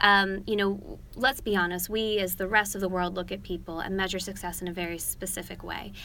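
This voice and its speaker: With an American accent, a woman speaks at a medium pitch in a bright, sharp tone, with monotone, flat intonation, a fairly quick pace and hardly any pauses, amid audible room echo. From United States. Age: 20s. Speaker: political commentator. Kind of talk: interview. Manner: articulate, measured.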